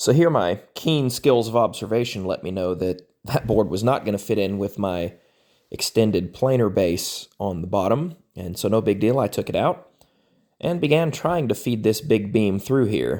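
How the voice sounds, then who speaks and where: Recorded very cleanly against a silent background, a man speaks with a dark, mellow tone, fairly low pitch and lively intonation. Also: moderate pace. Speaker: woodworking YouTuber. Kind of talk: tutorial voiceover narration. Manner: casual, self-deprecating.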